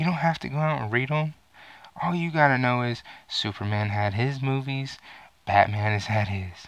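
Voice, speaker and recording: A man speaks at a fairly slow pace. The sound is dry, with no echo. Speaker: gaming and movie vlogger. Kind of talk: angry rant. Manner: loud, profane, furious; animated, sarcastic. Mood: angry, exasperated. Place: home room. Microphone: headset.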